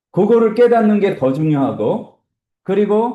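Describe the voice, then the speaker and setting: A man's high-pitched voice with a dark, mellow tone, moving at a fairly slow pace through very wide pitch swings. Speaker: instructor teaching Bible software. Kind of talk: lecture.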